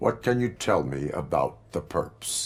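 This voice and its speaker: A man in a put-on character voice sounds raspy with a very deep, low pitch and a fairly slow pace. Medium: video game. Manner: flat, measured.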